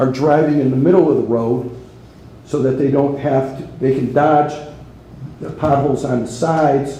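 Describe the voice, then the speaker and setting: Background noise is noticeable and room echo is audible. A man speaks at a moderate pace with monotone, flat intonation. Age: 70s. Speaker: resident speaking at public comment. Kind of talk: public comment at town meeting. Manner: halting, repeats words.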